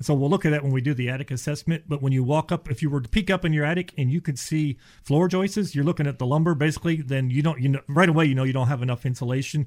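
Talking very fast with hardly any pauses, a man uses a fairly high pitch, ordinary pitch variation and a somewhat breathy voice. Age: 50s. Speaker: insulation contractor. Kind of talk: casual chat.

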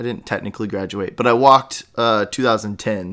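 On a very clean recording with a silent background, a man with an unremarkable speaking voice and medium pitch speaks at a moderate pace. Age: 30s. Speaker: podcast host. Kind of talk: casual interview chat.

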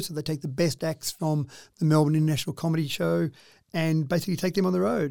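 On a very clean recording with a silent background, a man talks at a very fast pace in a dark, mellow tone, his fairly high voice holding a fairly even intonation. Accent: Australian. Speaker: mayor. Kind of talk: radio interview.

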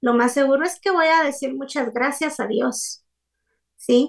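A woman speaks at a fairly slow pace. Her voice is high-pitched. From Guatemala. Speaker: psychologist. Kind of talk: radio interview.

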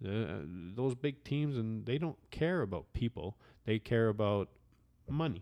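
Using an ordinary speaking voice, a man with a medium pitch talks at a fairly slow pace, his loudness very even and his intonation lively. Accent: Canadian. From Canada. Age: 40s. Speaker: former football player. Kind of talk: casual chat. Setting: at home.

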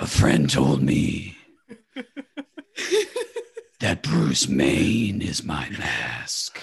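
A man speaks in a put-on character voice, very deep and raspy. He talks at a very slow pace, with long, frequent pauses. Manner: menacing, disguised.

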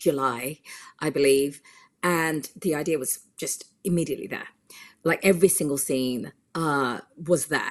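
A woman's very deep, low voice with a British accent. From UK. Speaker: film director. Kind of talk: interview.

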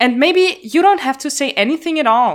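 With lively intonation, a woman speaks in a bright, sharp tone. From Vienna, Austria. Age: 20s. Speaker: podcast co-host. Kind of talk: casual chat.

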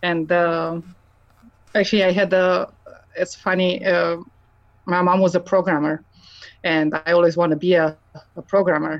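A woman with a Romanian accent, fairly low in pitch, in a monotone, flat delivery at a moderate pace, very even loudness, long, frequent pauses. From Romania, Transylvania. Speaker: mechanical engineer. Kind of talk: interview.

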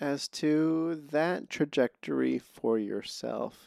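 The speaker is a man. His sound is dry and close, with no echo. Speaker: podcast host and filmmaker. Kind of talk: casual interview conversation. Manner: soft-spoken; halting, many false starts.

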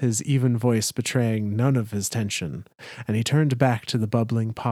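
Fairly even intonation in a natural reading voice

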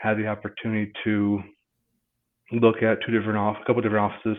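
In an American accent, the delivery stays monotone and flat. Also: man. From Michigan, Marshall. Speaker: insurance agent. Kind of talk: interview.

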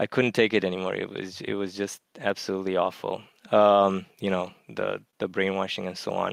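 A man with a fairly low pitch speaks at a moderate pace in a monotone, flat intonation, on a very clean recording with a silent background. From Romania. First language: Romanian. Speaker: math lecturer, caller. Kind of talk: casual chat.

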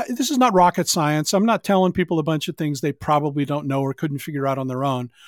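A man with an unremarkable speaking voice talks fairly high in pitch, his pitch varying in an ordinary way, in a very clean recording with a silent background. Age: 60s. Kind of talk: casual chat.

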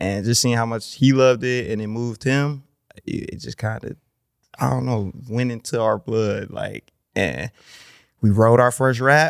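A man with a normal speaking voice talks at a medium pitch and moderate pace, his intonation fairly even and the sound dry and close with no echo. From Milwaukee, Wisconsin. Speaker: rapper. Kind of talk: casual chat. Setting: studio.

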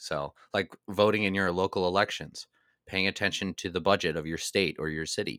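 Dry and close with no echo on a very clean recording with a silent background, a man's very deep, low voice moves at a fairly quick pace in a bright, sharp tone. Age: 30s. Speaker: political podcast host. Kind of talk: casual chat.

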